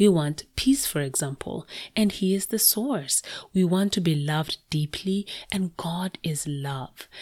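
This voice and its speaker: In a very clean recording with a silent background, a woman speaks with lively intonation and a somewhat breathy voice. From Kenya. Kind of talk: devotional teaching monologue.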